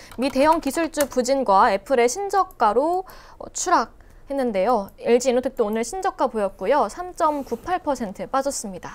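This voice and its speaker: Her pitch is high. This woman's voice makes very wide pitch swings. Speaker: stock market show host. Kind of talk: market news reading. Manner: scripted, formal. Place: studio. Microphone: lapel.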